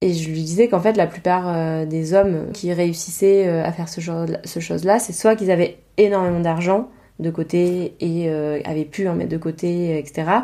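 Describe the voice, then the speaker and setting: With a dark, mellow tone, a woman speaks at a fairly low pitch and a fairly slow pace, keeping her intonation fairly even. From Provence, southern France. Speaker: podcast host, textile designer and teacher. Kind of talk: casual monologue.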